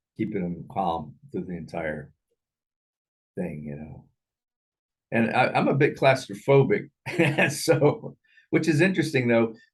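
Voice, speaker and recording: A man speaks at a fairly slow pace in a medium pitch, with very wide pitch swings and vocal fry. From Thailand. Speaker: film discussion show host. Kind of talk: casual chat. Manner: halting, many repetitions.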